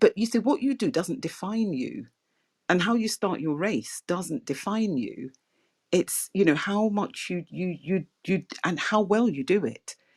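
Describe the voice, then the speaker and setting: Through a dry, close sound with no echo, a woman speaks fairly slowly at a medium pitch with lively intonation. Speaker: podcast host. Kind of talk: casual chat. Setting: online audio room.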